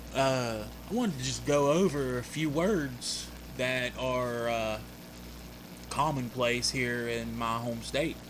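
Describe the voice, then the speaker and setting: A man mumbles with a West Virginia accent at a very slow pace. Audible room echo surrounds his voice. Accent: Appalachian West Virginia. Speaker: YouTuber. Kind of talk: casual monologue; reading aloud. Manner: mumbled diction; casual, folksy.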